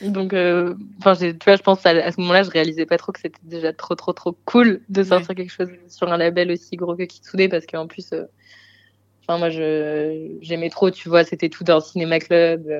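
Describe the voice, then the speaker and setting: A woman speaks at a moderate pace in a fairly low voice with monotone, flat intonation and big swings in loudness. The sound is dry and close with no echo, against a quiet background. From Marseille, southern France. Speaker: singer-songwriter. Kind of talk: casual interview chat.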